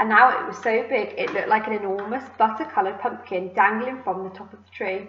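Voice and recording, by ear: A natural voice reading aloud, its pitch varying in an ordinary way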